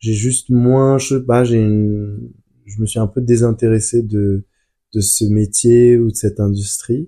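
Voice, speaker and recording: A man speaks very slowly in a fairly low, dark and mellow voice, his intonation fairly even. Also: very clean recording, silent background. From France. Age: 20s. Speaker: business school graduate. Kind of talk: casual chat.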